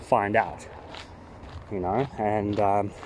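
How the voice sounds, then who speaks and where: With noticeable background noise behind him, a man delivers his words at a fairly slow pace. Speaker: trail walking vlogger. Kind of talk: walking vlog monologue. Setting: outdoors on a walking trail. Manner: halting, many fillers; casual, thinking aloud.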